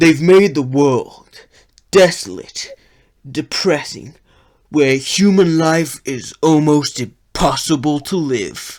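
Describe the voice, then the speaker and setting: Using a put-on character voice with a dramatic tone, a man speaks at a fairly high pitch and a very slow pace on a very clean recording with a silent background. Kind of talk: trailer narration. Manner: edgy, dramatic.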